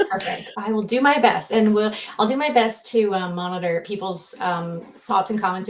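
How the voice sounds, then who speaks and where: Using an ordinary speaking voice, a woman keeps a moderate pace at a medium pitch. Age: 40s. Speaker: co-host and comment moderator. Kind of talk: live online show, casual discussion. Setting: home office, video stream.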